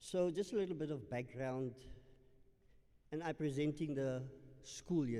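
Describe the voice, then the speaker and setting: A man's dark, mellow voice at a moderate pace, with long, frequent pauses and audible room echo. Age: 60s. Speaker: school principal. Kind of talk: public meeting address. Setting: community hall with audience, live streamed. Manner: formal.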